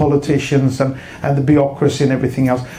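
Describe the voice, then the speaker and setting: A man with a Swedish accent talks at a fairly quick pace. Light background noise is present. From Sweden. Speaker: internet entrepreneur; speaker. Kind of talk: keynote speech. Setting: stage with audience. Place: stage. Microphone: handheld.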